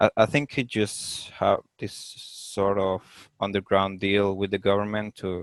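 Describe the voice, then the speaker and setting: In a Spanish accent, the speaker goes at a fairly slow pace with hardly any pauses, intonation monotone and flat, the sound dry and close with no echo against a quiet background. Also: man, fairly low pitch for a man. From Venezuela, outskirts of Caracas. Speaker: podcast guest, digital designer. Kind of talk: casual interview conversation. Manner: halting, repeats words.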